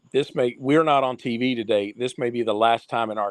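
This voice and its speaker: Over a quiet background, a man with an American accent speaks at a medium pitch with ordinary pitch variation. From Eastern Kentucky. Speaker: retired baseball umpire. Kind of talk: casual interview chat.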